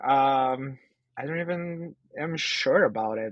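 This man has a fairly high pitch and a Portuguese accent. He speaks at a very slow pace with ordinary pitch variation. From Brazil. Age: 30s. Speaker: artist. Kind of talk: interview.

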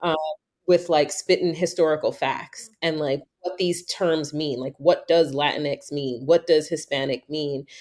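A fairly slow delivery in an American accent. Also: woman, very deep, low pitch for a woman. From New York. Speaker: podcast host. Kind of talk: casual chat. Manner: animated.

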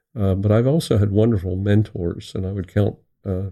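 This man speaks with an American accent at a moderate pace, his fairly low voice dark and mellow with monotone, flat intonation. The recording is very clean, with a silent background. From Pennsylvania, Pottstown near Philadelphia. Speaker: psychologist. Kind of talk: casual interview.

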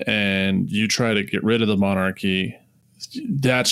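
A man with a fairly low pitch and ordinary pitch variation talks in a normal speaking voice. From US Midwest, Nebraska. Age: 30s. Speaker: podcast host. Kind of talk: casual chat.

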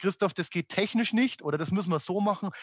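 A man, recorded dry and close with no echo against a quiet background. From Upper Franconia, Germany. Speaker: amusement industry executive. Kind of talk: podcast interview. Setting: home office. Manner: halting, many fillers.

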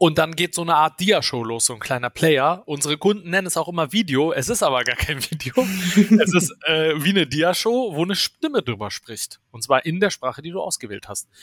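In a normal speaking voice, a man talks at a fairly quick pace and fairly high pitch, with lively intonation and big swings in loudness, the sound dry and close with no echo. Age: 30s. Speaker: startup founder and CTO. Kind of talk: interview.

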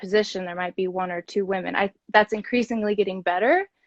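A woman with a plain, everyday voice and an American accent speaks at a medium pitch with fairly even intonation. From US Midwest, Kansas City. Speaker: podcast host and corporate professional. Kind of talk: casual interview. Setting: social media live video.

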